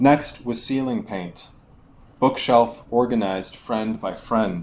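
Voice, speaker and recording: Speaking with a Buffalo accent at a fairly slow pace, a man holds a medium pitch. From Buffalo, New York. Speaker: poet. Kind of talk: poetry reading. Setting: live reading at a bar.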